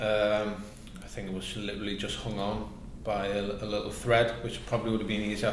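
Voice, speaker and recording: Over light background noise and audible room echo, a man talks at a fairly quick pace in a fairly low, monotone voice with flat intonation. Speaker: guest. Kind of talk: interview answer. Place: home room.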